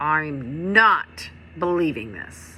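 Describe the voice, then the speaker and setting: A woman's put-on character voice, growling and nasal, very deep and low, with lively intonation amid clear background noise. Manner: angry, glaring.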